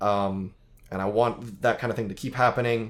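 A man speaks at a moderate pace with an American accent and medium pitch. He has a plain, everyday voice. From United States. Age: 20s. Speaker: movie podcast host. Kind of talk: casual chat.

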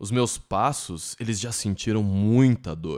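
Very slow and fairly low-pitched, a man's voice moves with ordinary pitch variation in a very clean recording against a silent background. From Brazil, São Paulo ABC region. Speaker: podcast host. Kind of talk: poetic spoken intro.

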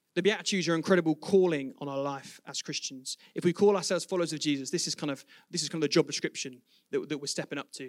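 A man with an English accent speaks at a very fast pace and a fairly high pitch. The sound is dry and close with no echo. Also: ordinary pitch variation, big swings in loudness. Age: 20s. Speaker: preacher. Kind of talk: sermon. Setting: church.

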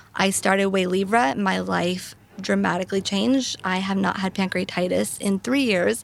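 A woman speaks at medium pitch and a moderate pace with ordinary pitch variation. She has a plain, everyday voice, and its loudness stays very even. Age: 20s. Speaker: rare disease patient advocate. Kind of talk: interview conversation. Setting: live recording at a patient advocacy summit.

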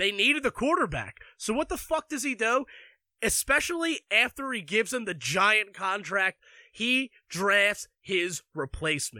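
In an American accent, a man speaks at a high pitch in a raised, projected voice with a bright, sharp tone, an animated manner and very wide pitch swings, at a fairly slow pace, in a dry, close, very clean recording with a silent background. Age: 20s. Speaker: sports podcaster. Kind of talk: sports rant.

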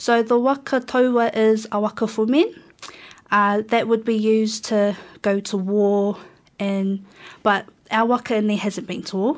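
A woman at a fairly slow pace, with fairly even intonation and long, frequent pauses. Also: fairly high pitch for a woman. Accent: New Zealand. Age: young. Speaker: student and waka crew member. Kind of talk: radio interview. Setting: radio studio.

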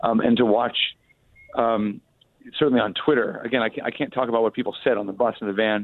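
A man talks at a very fast pace with an American accent. His intonation is fairly even, broken by long, frequent pauses. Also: medium pitch for a man. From Chicago. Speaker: journalist and author. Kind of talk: radio interview. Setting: hotel during inauguration crowds.

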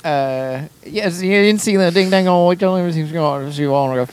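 A put-on character voice in a Southern US accent, mumbling and drawling at a middle pitch and a moderate pace. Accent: Southern drawl. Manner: mumbly, slurred drawl.

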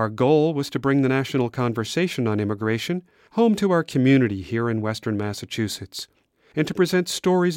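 The recording is very clean, dry and close, with no echo and a silent background. A man with a plain, everyday voice talks at a fairly quick pace. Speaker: radio podcast host and executive producer. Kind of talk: scripted narration.

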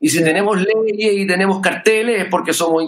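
A man with a Chilean accent talks at a fairly quick pace. His voice is high in pitch with ordinary pitch variation. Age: 50s. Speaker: musician. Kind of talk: casual chat. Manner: calm and measured.

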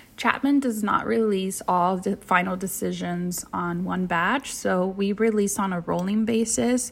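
Speaking fairly slowly, a woman with a Californian accent uses a medium pitch and ordinary pitch variation. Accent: Californian American English. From Southern California, Orange County. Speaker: university admission counselor. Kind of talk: informational podcast interview. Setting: remote recording.

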